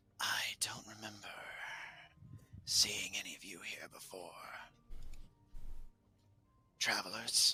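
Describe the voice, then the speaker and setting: A man whispers in a raspy, put-on character voice. His pace is fairly slow, with big swings in loudness. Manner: hushed, wary.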